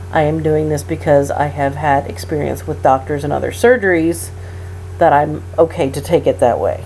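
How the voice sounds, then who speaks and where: Over noticeable background noise, a woman with a very deep, low pitch makes very wide pitch swings. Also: moderate pace. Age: 30s. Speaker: patient recovering from hysterectomy. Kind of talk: casual talk to camera.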